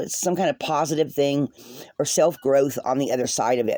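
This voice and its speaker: This woman has a dark, mellow tone. She talks at a moderate pace. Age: 60s. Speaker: rune and tarot reader. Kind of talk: casual monologue vlog. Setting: home video, seated.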